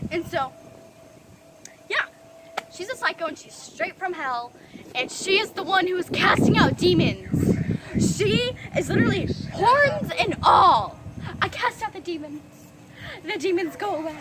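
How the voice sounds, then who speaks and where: A woman speaks at a fairly slow pace with an extremely high pitch, very wide pitch swings and big swings in loudness. Her long, frequent pauses sit over noticeable background noise. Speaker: storytime vlogger. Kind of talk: storytime rant. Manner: animated.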